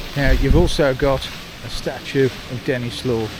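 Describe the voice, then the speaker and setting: Against noticeable background noise, a man speaks at a fairly slow pace with a medium pitch. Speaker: travel vlogger. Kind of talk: walking tour vlog. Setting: outdoors, city street. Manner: casual, chatty.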